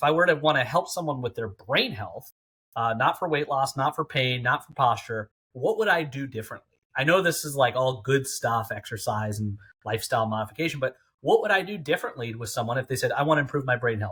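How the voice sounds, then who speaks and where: In a very clean recording with a silent background, a man speaks very fast, with lively intonation and a bright, sharp tone. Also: medium pitch for a man. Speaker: brain health coach. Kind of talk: interview.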